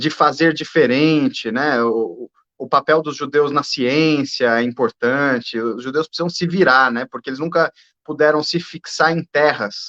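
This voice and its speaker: A man with a fairly high pitch and a bright, sharp tone speaks at a fairly slow pace. His pitch varies in an ordinary way, and the sound is dry and close with no echo. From Brazil. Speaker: judge. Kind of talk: conversational interview. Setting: video call.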